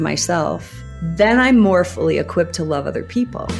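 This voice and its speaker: Music sits in the background. The speaking pace is moderate. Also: woman. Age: 60s. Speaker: women's group leader. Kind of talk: interview answer.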